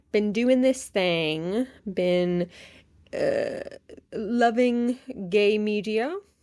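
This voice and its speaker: Lively intonation in an American accent, on a very clean recording with a silent background. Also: woman. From US, upstate New York. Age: 30s. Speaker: podcast host. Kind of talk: casual podcast monologue. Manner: animated.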